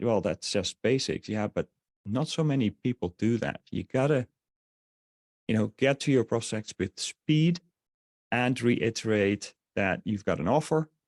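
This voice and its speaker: This man, medium in pitch, speaks at a moderate pace with lively intonation and a slight Dutch accent. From Netherlands. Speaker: online marketer. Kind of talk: webinar sales presentation. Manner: halting, many fillers.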